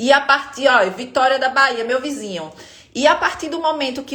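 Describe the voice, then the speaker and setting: In a northeastern Brazilian accent, a woman speaks at a high pitch and moderate pace amid noticeable background noise. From Northeast Brazil, Aracaju, Sergipe. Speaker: spine pain health educator. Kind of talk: live stream talk to viewers.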